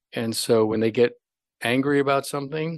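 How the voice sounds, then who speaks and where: Against a quiet background, a man uses a normal speaking voice at a moderate pace with ordinary pitch variation. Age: 60s. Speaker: longevity physician. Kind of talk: interview.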